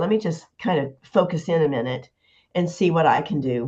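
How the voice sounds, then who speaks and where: Her voice is somewhat breathy, and the woman's pitch swings very widely. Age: 70s. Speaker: nurse. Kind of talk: casual chat.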